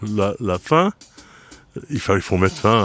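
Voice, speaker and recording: A man's fairly low-pitched voice with lively intonation, music in the background. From northern France, Oise. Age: 70s. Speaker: hunting federation president. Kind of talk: interview.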